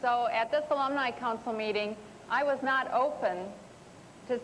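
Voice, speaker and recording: A woman's fairly high voice at a moderate pace, with ordinary pitch variation, audible room echo and noticeable background noise. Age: 40s. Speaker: writer. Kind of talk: TV talk show interview. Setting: studio with audience.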